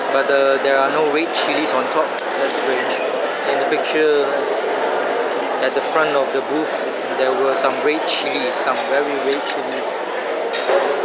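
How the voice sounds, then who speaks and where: Over loud background noise, a man talks at a fairly slow pace with long, frequent pauses. The sound itself is dry, with no echo. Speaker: food vlogger. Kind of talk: casual vlog chat. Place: market. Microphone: phone near.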